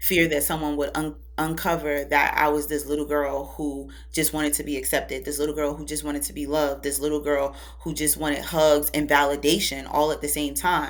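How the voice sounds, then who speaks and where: Over music in the background, a woman talks at a fairly quick pace, with audible room echo around her voice. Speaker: public speaker and spiritual advisor. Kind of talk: podcast interview.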